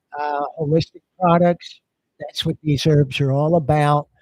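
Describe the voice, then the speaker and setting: Somewhat breathy speech at a very slow pace, dry and close with no echo. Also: man. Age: 60s. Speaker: product presenter. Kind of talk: sales pitch.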